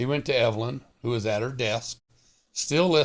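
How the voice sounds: The voice reads naturally. Behind it, the background stays quiet.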